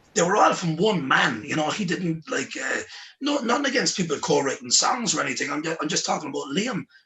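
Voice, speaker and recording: Noticeable background noise sits behind a man speaking at a fairly quick pace. His voice is high, and his pitch swings very widely. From Ireland, County Cork. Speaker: singer-songwriter. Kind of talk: casual chat. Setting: livestream. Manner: animated.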